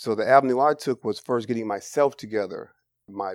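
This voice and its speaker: A man with an American accent has a plain, everyday voice, medium in pitch and fairly even in intonation. He speaks at a moderate pace, and the sound is dry and close with no echo. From San Francisco Bay Area, California. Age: 40s. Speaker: formerly incarcerated reentry mentor. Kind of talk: interview testimony.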